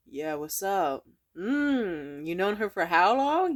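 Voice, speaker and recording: A gruff, put-on character voice at a middle pitch and a fairly slow pace. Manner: gruff, macho, menacing.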